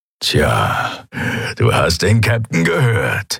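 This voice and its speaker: Very slowly, a man puts on a raspy character voice at a medium pitch. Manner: growling.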